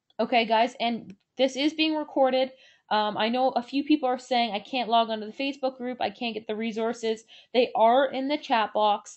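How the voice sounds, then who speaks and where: Her voice sits fairly high for a woman, and the pitch moves with ordinary variation. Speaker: online business coach. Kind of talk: webinar presentation with Q&A. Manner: fast.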